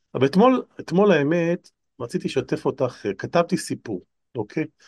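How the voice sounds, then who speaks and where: A man talks at a fairly quick pace. The background is quiet, and the sound is dry and close with no echo. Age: 50s. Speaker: lecturer and author. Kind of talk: casual chat.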